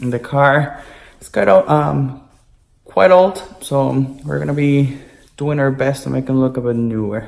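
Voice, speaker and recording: The pace is fairly slow, broken by long, frequent pauses. The speaker has a non-native accent. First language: not English. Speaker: car detailing youtuber. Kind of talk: tutorial voiceover. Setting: recorded voiceover over work footage. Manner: hesitant, with filler ums.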